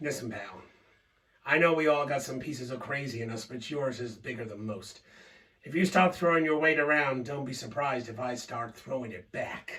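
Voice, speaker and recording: A man's raspy put-on character voice at medium pitch, moderate pace and ordinary pitch variation. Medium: solo performance. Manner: folksy, drawling.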